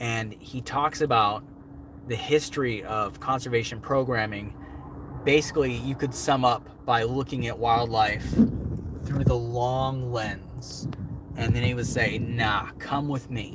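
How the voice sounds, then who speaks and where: A man at a medium pitch, fairly slow pace, ordinary pitch variation, and noticeable background noise. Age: 30s. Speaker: wildlife show host. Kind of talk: livestream Q&A. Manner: casual, filler-heavy.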